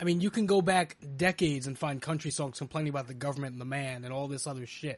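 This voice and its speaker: A man talks at a very fast pace in a fairly high, somewhat breathy voice. The background is quiet. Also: ordinary pitch variation. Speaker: podcast host. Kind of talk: casual banter podcast. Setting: live stream.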